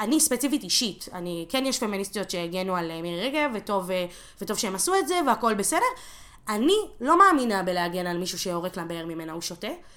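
A woman talks at a fairly quick pace in a medium pitch, her intonation lively. Noticeable background noise runs under her voice. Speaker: activist. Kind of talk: casual chat.

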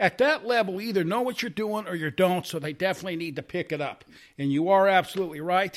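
A man with an American accent talks at a very fast pace in a high voice with ordinary pitch variation. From US Midwest. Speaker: golf caddie. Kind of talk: casual chat.

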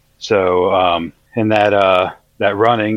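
A man speaks in a monotone with an American accent. His pitch is very deep and low. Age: 40s. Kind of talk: testimony.

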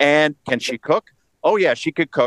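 In a New York-New Jersey accent, a man speaks at a fairly high pitch, the sound dry and close with no echo. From northern New Jersey. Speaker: political commentator. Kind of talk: interview.

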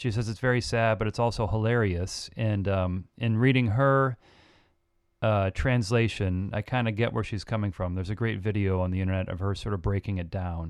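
Over a quiet background, a man with a plain, everyday voice and a fairly low pitch talks at a moderate pace with fairly even intonation. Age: 40s. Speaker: musician and producer. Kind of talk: casual chat.

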